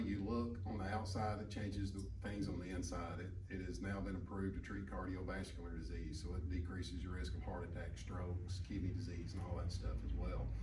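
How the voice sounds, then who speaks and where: A man with an Alabama accent and a very deep, low voice speaks fairly quickly, with audible room echo and noticeable background noise. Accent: Southern US (Alabama). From US South, Alabama. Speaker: medical clinic provider. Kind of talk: panel talk at a health event. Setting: event with live audience. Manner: talkative.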